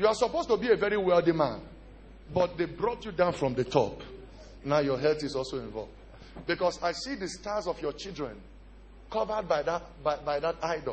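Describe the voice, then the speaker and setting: Over light background noise, a high-pitched man talks at a fairly quick pace with lively intonation and long, frequent pauses. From Nigeria. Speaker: pastor. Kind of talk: sermon. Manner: animated. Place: church. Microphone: handheld.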